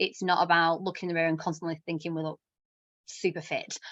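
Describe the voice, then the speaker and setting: A woman with an English accent speaks at a fairly low pitch over a quiet background. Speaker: self-worth coach. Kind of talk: workshop talk. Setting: live online session. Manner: fast.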